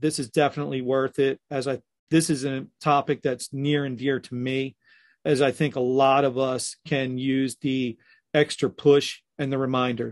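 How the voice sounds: A man speaks at a fairly slow pace, his pitch medium and moving little. His tone is slightly mellow.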